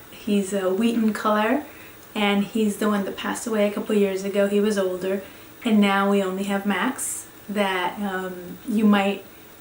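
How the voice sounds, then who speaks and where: Speech comes at a fairly slow pace amid noticeable background noise and audible room echo. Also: woman. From Venezuela (Caracas). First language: Spanish. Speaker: professor. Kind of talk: course introduction talk. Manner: halting.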